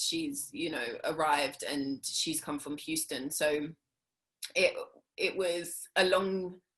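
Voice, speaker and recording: A woman talks at a very slow pace, her fairly low voice keeping a fairly even intonation. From South London, England. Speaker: actress. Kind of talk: interview. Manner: hesitant, many fillers.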